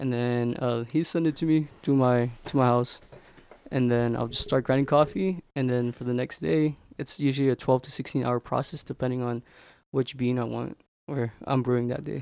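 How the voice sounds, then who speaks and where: At a moderate pace and medium pitch, a man speaks in a plain, everyday voice with fairly even intonation. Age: 20s. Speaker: small coffee business owner. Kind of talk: casual chat.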